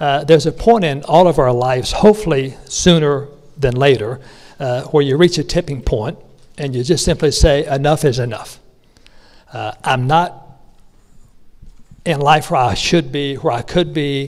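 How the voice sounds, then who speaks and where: Pausing long and often, a man with a North Carolina accent speaks at a moderate pace in a fairly high pitch, with ordinary pitch variation. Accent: Southern US (North Carolina). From North Carolina, rural. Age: 60s. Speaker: business speaker. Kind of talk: motivational speech. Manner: conversational, with many fillers.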